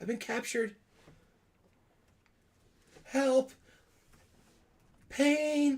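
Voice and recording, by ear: Putting on a character voice, a man speaks at an extremely high pitch and a very slow pace, with vocal fry, a slightly mellow tone and ordinary pitch variation.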